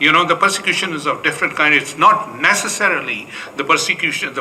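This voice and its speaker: A man at a fairly quick pace with fairly even intonation, audible room echo and noticeable background noise. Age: 70s. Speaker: pastor. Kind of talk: panel discussion answer. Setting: conference room. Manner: halting.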